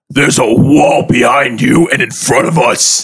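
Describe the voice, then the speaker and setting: In a put-on, growling character voice, a man talks at a moderate pace with fairly high pitch and very even loudness. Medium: actual play. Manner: earnest, protective.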